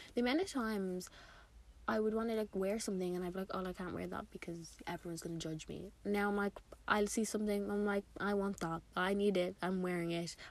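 The speaker is a woman with medium pitch. She talks at a fairly quick pace. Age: 20s. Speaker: podcast host. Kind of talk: casual solo chat. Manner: animated.

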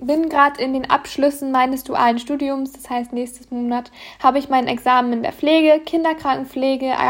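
A woman talks at a moderate pace and a high pitch. Her intonation is fairly even. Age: 20s. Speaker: podcaster and online coach. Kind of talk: solo monologue podcast. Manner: frequent filler hesitations.

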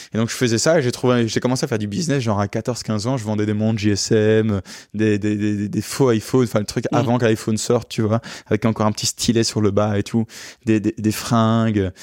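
At a fairly quick pace, a man speaks with fairly low pitch and fairly even intonation. The recording is very clean, with a silent background. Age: 20s. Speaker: luxury car rental entrepreneur. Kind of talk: interview. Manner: halting.

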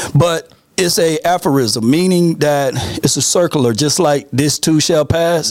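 A man's voice at a moderate pace, with ordinary pitch variation and music in the background. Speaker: podcast guest, sports analyst.

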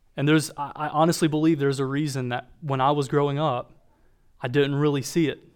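In an American accent, a man with a fairly high pitch speaks at a very fast pace. His intonation is monotone and flat, and the recording is very clean with a silent background. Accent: Southern US, mostly masked. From North Carolina. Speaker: church discipleship director. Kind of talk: sermon. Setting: church with congregation. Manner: halting, many fillers.

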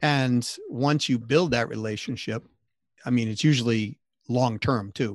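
Against a quiet background, a man with an American accent and a plain, everyday voice speaks at a medium pitch with fairly even intonation. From Massachusetts, US. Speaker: sales consultant, company CEO. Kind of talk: interview.

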